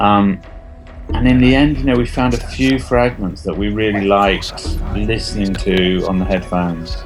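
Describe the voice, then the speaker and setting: A man talks with lively intonation. Behind him there is music in the background. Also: fairly low pitch for a man, moderate pace. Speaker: artist and theatre maker. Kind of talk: interview answer.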